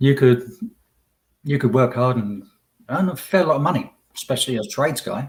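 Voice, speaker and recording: A somewhat breathy voice at a fairly quick pace, with ordinary pitch variation and long, frequent pauses. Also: man, medium pitch for a man. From Essex, England. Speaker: tradesman, immigrant guest. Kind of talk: casual chat.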